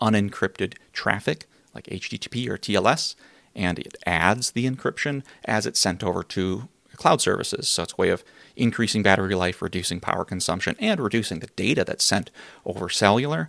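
Dry and close with no echo, this very clean recording with a silent background features a man with a fairly low pitch. He speaks in an ordinary speaking voice at a fairly quick pace, with ordinary pitch variation. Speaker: podcast host. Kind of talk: scripted narration.

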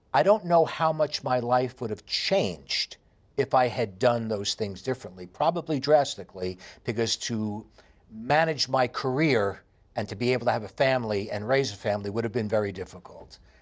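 On a very clean recording with a silent background, a man with a New York accent speaks at a moderate pace with lively intonation. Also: medium pitch for a man. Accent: heavy New York. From New York City. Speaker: radio host and Pilates studio owner. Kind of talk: interview conversation. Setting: studio, video recording.

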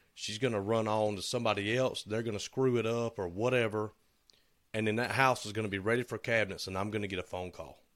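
A man with a Southern US accent and a fairly low pitch speaks at a very fast pace. His intonation is fairly even, and the recording is very clean with a silent background. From US South. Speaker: woodworking shop owner, podcast co-host. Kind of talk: casual chat.

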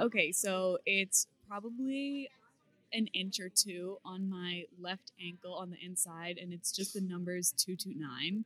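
In an American accent, a woman talks at a very slow pace, her medium-pitched voice bright and sharp with ordinary pitch variation. Her loudness swings widely, and the sound is dry and close with no echo. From Massachusetts, Beverly. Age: 20s. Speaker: competitive weightlifter and powerlifter. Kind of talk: casual interview.

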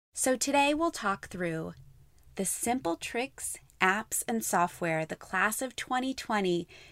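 A woman with an unremarkable speaking voice talks at a fairly slow pace and medium pitch with lively intonation, in a very clean recording with a silent background and a dry, close sound with no echo. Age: 30s. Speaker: podcast host, marketing expert. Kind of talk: podcast monologue.

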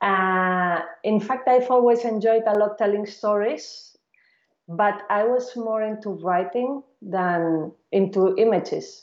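A woman with a medium pitch speaks at a very slow pace. Her pitch variation is ordinary. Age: 40s. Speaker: film director. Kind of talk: interview.

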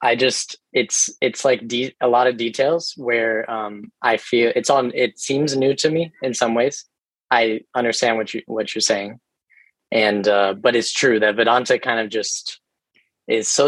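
Dry and close with no echo, a man's normal speaking voice moves at a fairly slow pace with medium pitch and fairly even intonation. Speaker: course participant. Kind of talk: casual Q&A.

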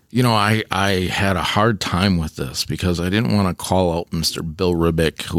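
A man with a very deep, low voice is heard in a dry, close sound with no echo, over noticeable background noise. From Beloit, Wisconsin. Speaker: school district administrator. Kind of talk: casual interview.

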